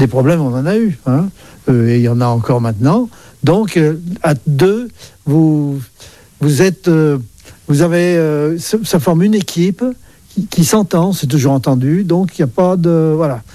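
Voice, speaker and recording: A man speaks at a fairly slow pace with long, frequent pauses. His voice is fairly high in pitch, with a dark, mellow tone and lively intonation. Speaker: retired business owner. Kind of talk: interview testimony. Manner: halting.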